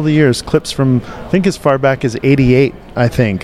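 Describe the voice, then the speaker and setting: Noticeable background noise sits behind a man whose voice is fairly high in pitch. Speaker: radio host. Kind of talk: casual chat. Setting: convention floor.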